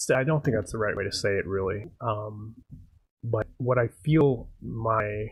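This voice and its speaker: At a fairly slow pace, a man speaks with a medium pitch and ordinary pitch variation. His voice is somewhat breathy. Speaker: amateur game and film maker. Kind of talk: casual live stream talk while level editing. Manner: hesitant, many filler words.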